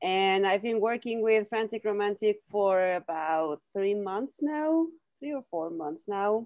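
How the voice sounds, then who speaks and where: Speaking with a Mexican accent, a woman at medium pitch talks at a fairly slow pace with lively intonation, the sound dry and close with no echo. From Mexico. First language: Spanish. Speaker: record label owner. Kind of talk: casual chat.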